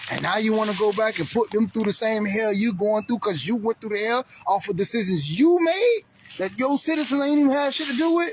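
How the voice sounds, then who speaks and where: A man speaks in an animated tone at a high pitch with very wide pitch swings. There is noticeable background noise. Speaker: vlogger. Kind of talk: casual vlog monologue. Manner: fast.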